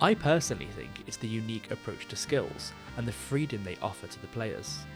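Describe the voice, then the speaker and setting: With music in the background, a man with a fairly low pitch talks at a fairly quick pace. His pitch swings very widely and his loudness rises and falls in big swings. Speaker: gaming video creator. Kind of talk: scripted video essay narration.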